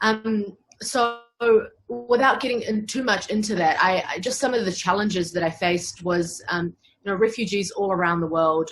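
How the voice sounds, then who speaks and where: This woman has a New Zealand accent and ordinary pitch variation. She talks at a moderate pace. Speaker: human rights lawyer. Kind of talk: interview.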